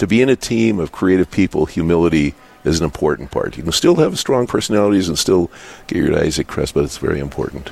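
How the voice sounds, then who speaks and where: In an American accent, a man with a very deep, low pitch talks at a very fast pace. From US Upper Midwest, North Dakota. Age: 60s. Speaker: business owner. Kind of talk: radio interview. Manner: halting, many fillers and repetitions.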